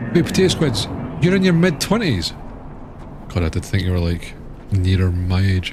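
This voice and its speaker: With a Scottish accent, a man speaks with long, frequent pauses amid noticeable background noise and audible room echo. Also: moderate pace. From Scotland. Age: 30s. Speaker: gaming streamer. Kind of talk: casual chat. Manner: animated.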